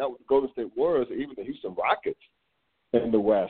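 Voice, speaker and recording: With ordinary pitch variation and a medium pitch, this man talks in an unremarkable speaking voice. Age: 40s. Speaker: sports podcast host. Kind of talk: casual sports talk.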